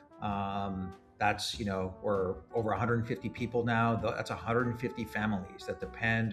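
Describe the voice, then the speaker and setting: Music plays in the background as a man speaks at a moderate pace. His voice sits at a medium pitch with ordinary pitch variation. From Montreal, Canada. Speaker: startup founder and CEO. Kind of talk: podcast interview answer.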